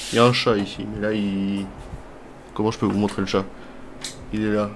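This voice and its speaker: A man with a fairly low pitch speaks in a monotone, flat intonation, with audible room echo around him. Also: moderate pace. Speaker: video game streamer. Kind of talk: casual gameplay commentary. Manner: casual, conversational.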